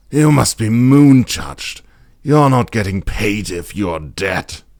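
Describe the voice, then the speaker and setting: A man does a put-on character voice at a medium pitch, with very wide pitch swings. He speaks at a fairly slow pace. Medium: read story.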